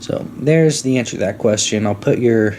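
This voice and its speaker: A man with an American accent, over noticeable background noise. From Florida. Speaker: podcast host. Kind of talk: casual monologue storytelling. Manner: fast.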